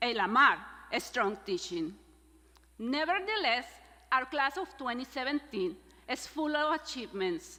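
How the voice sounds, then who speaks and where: The speaker uses a raised, projected voice in a Spanish accent, with very wide pitch swings. Delivery is fairly slow, with long, frequent pauses. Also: woman, high pitch for a woman. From Mexico, San Luis Potosi. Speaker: graduate student speaker. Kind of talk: commencement speech. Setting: stage with audience.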